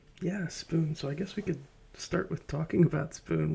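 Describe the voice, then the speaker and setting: A man talks at a fairly quick pace with a fairly high pitch and a dark, mellow tone. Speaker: ASMR creator and YouTube host. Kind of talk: casual soft-spoken conversation with a guest. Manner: soft-spoken, quieter than guest.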